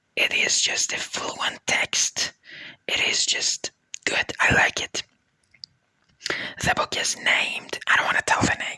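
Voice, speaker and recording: The speaker whispers very slowly, stopping often and at length. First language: a language other than English or Persian. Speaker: vlogger. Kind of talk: casual monologue. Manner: halting, with frequent fillers.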